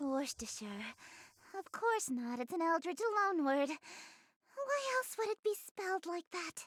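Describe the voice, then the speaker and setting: A female-sounding put-on character voice speaks at a fairly slow pace, its extremely high pitch swinging very widely. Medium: video game. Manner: grandiose, aristocratic.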